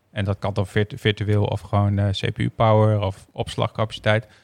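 A man with a medium pitch speaks at a moderate pace in a normal speaking voice. The recording is very clean, with a silent background. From Groningen, Netherlands. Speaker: tech company CTO, co-host. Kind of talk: casual chat.

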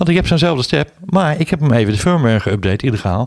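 Very wide pitch swings ride a very fast pace in a dry, close recording with no echo, very clean and with a silent background. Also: man. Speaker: podcast co-host. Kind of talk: casual chat.

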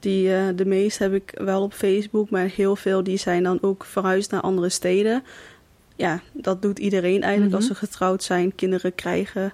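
A woman speaks at medium pitch and a moderate pace, her tone dark and mellow. Her intonation is monotone and flat, and her loudness very even. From Netherlands, Kaatsheuvel (North Brabant), with Thai roots. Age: 20s. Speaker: recent graduate, tailor. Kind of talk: casual interview. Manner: hesitant, many fillers.

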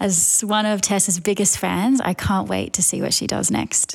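This woman has an Australian accent. She talks at an unhurried, middling speed. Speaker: design director. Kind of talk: recorded message.

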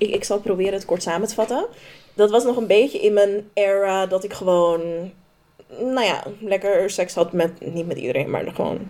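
A woman talks in a medium pitch with a dark, mellow tone. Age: 20s. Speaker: podcast co-host. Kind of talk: casual chat.

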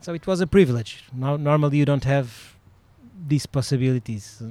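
This man has a dark, mellow tone and medium pitch, talking at a fairly quick pace with ordinary pitch variation. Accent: Portuguese. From Portugal, Sintra near Lisbon. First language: Portuguese. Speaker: dressage judge and riding club owner. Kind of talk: interview. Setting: outdoors at a riding club.

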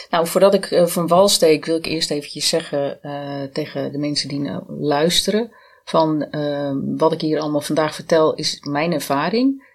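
In a very clean recording with a silent background, a woman with a very deep, low pitch speaks at a fairly slow pace with ordinary pitch variation. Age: 50s. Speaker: cancer survivor, identity and branding consultant. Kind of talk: podcast interview.

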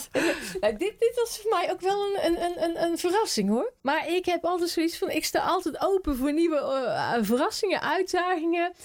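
A woman at an extremely high pitch, moderate pace, lively intonation and very even loudness. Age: 50s. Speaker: village council member. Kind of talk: interview.

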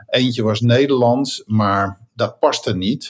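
A man's somewhat breathy voice. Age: 60s. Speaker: continuous improvement consultant and software founder. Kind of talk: interview.

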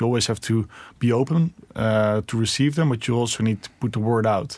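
Spoken in a Dutch accent, this is a very clean recording with a silent background. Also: man. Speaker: tech company founder and CEO. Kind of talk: interview. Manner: hesitant with many fillers.

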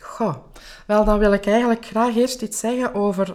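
A woman speaks at a moderate pace in a normal speaking voice. Her pitch sits fairly high. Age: 40s. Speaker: life coach and podcast host. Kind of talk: interview answering questions.

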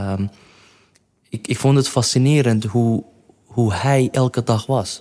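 With a dark, mellow tone, a man speaks at a medium pitch and a fairly slow pace, keeping his intonation fairly even. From Iraq. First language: not Dutch (Iraqi origin) (speaking Dutch). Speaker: entrepreneur. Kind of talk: interview.

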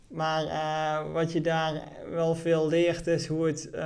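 A high-pitched male voice with audible room echo. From Netherlands, Venray (Limburg). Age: 30s. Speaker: entrepreneur. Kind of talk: interview. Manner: halting.

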